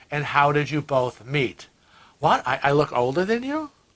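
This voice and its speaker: A man with a Western New York accent speaks at a fairly high pitch. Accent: Western New York American. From US Northeast (Rochester, New York). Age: 60s. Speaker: cruise vlogger. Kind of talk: casual chat.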